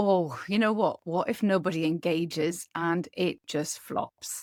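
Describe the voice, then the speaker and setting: In a Geordie accent, a woman speaks at a fairly slow pace with fairly even intonation and a fairly low pitch. The recording is very clean and silent behind her, with a dry, close sound and no echo. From northeast England (Newcastle area). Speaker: podcast host, dietitian and business coach. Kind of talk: podcast monologue.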